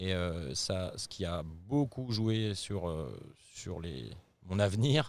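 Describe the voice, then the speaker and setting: A man's fairly low voice comes through on a very clean recording, the background completely silent. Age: 40s. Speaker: company CEO and co-founder. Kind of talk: interview. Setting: company headquarters office in Paris. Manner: hesitant, many filler sounds.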